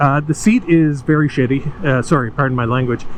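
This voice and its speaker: A man at a moderate pace, with ordinary pitch variation and noticeable background noise. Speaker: motorcycle vlogger. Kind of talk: casual ride-along vlog. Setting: riding a motorcycle outdoors. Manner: hesitant, many fillers.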